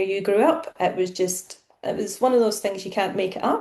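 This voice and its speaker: A woman talks in a Scottish accent. Her pitch varies in an ordinary way. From central Scotland. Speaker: property relocation manager. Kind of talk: podcast interview.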